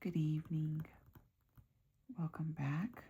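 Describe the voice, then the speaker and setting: A woman speaks softly at a fairly low pitch. Her voice is somewhat breathy. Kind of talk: ASMR soft spoken magazine reading. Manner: soft-spoken, quiet.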